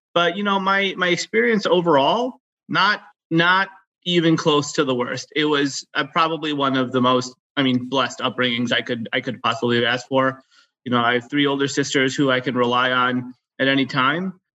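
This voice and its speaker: This man has a fairly high pitch and an American accent. His tone is bright and sharp. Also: ordinary pitch variation, moderate pace. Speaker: physician, guest. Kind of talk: casual interview chat.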